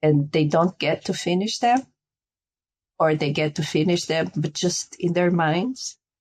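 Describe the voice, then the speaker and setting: A woman with a Portuguese accent talks at a fairly slow pace in a fairly low voice, with ordinary pitch variation, very even loudness and a quiet background. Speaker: spiritual guide. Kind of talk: interview; guided meditation. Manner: halting.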